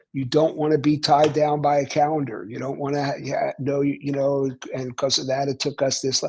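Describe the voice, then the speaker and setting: Somewhat breathy and fairly high in pitch, a man with a Philadelphia accent speaks in a monotone, flat intonation with hardly any pauses. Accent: Philadelphia American. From US Northeast, Philadelphia. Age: 70s. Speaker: author. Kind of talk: casual chat.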